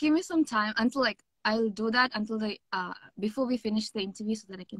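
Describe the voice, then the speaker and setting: A woman's very fast speech, fairly high in pitch with ordinary pitch variation and big swings in loudness, dry and echo-free against a quiet background. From India, Mumbai (born Kerala); Mumbai. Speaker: K-pop singer; interviewee. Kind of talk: interview. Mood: cheerful, friendly. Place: home room. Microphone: video call.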